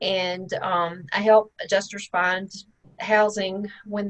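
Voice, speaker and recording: A woman with a Mississippi accent and flat, monotone intonation. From Mississippi, small town. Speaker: real estate investor, tax lien expert. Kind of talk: podcast interview.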